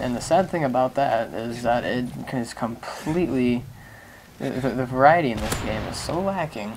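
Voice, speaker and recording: A man talks at a moderate pace and medium pitch, with ordinary pitch variation. Noticeable background noise is present. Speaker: gaming commentator. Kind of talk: gameplay commentary.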